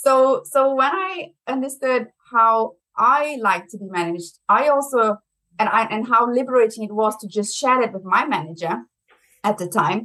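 Lively intonation and big swings in loudness from a woman with a German accent and fairly high pitch. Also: moderate pace. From Brazil. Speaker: marketing executive. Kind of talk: interview.

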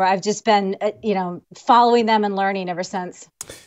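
Using a plain, everyday voice, a woman talks with ordinary pitch variation and a moderate pace. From US Midwest, Illinois. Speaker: lawyer and vaping advocate. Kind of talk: interview.

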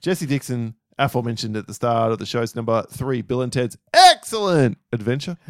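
Sounding dry and close with no echo, a man with an Australian accent talks at a fairly quick pace with hardly any pauses, his medium pitch showing ordinary variation. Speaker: podcast co-host. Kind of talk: casual chat.

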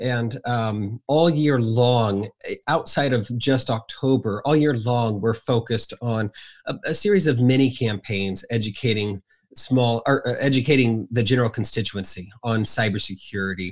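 In an American accent, a man with an ordinary speaking voice talks at a moderate pace and medium pitch with ordinary pitch variation, on a very clean recording with a silent background. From Southern Indiana. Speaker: cybersecurity educator at a nonprofit. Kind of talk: casual interview.

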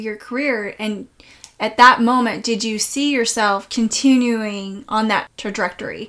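At a moderate pace, a woman with a fairly high voice speaks in a fairly even intonation against noticeable background noise. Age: 40s. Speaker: podcast host. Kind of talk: interview. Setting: in a home.

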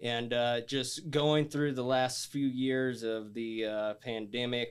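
This man has an ordinary speaking voice at medium pitch with ordinary pitch variation. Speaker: podcast host. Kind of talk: casual chat.

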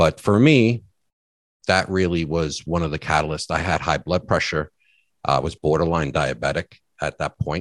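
In a very clean recording with a silent background and a dry, close sound with no echo, a man with a very deep, low pitch and vocal fry speaks at a moderate pace with ordinary pitch variation. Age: 40s. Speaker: weight-loss surgery patient and app founder. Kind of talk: interview. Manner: halting.

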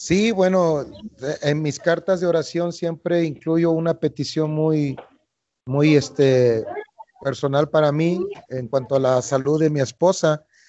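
This man speaks at a fairly slow pace in a fairly high pitch, with ordinary pitch variation and an ordinary speaking voice. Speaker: missionary. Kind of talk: interview. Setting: outdoors on the street.

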